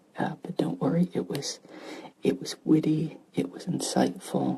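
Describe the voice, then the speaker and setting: The pace is fairly slow. There is noticeable background noise. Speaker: ASMR gaming creator. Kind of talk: soft-spoken ASMR chat. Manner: soft-spoken, not whispering.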